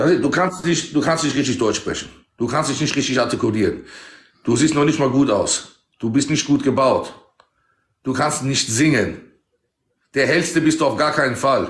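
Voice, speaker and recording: In a room with audible echo, a man with a fairly high pitch and a somewhat breathy voice speaks at a moderate pace, with ordinary pitch variation and long, frequent pauses. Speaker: TikTok live streamer. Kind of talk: casual live-stream chat. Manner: excitable. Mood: mocking, provocative. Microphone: phone near.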